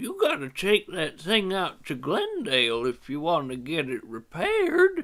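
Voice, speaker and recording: A man's put-on character voice, high-pitched, at a moderate pace. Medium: solo performance. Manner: folksy, plainspoken.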